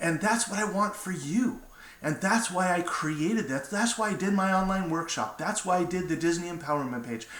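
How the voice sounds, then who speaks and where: The voice moves at a moderate pace with lively intonation, heard over noticeable background noise and audible room echo. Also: man, high pitch for a man. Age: 60s. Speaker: motivational speaker. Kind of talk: inspirational talk to camera. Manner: casual, with fillers.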